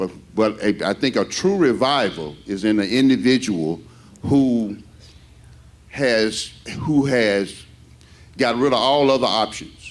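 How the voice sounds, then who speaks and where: Speaking at a very slow pace with long, frequent pauses, a man uses a medium pitch and lively intonation. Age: 60s. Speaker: pastor. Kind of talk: bible study discussion. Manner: halting, repetitive.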